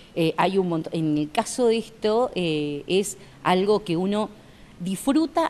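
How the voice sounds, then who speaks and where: A woman's voice with very wide pitch swings over light background noise. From Argentina. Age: 50s. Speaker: author; interviewee, journalist. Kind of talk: casual interview. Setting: outdoor café patio. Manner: halting, many repetitions. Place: garden.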